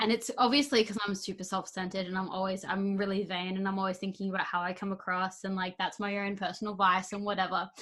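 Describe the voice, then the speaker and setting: Talking at a very fast pace, a woman with an Australian accent keeps a medium pitch and a monotone, flat intonation. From Queensland, Australia. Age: 20s. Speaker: podcast host. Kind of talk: casual chat. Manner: fast, changes course mid-sentence.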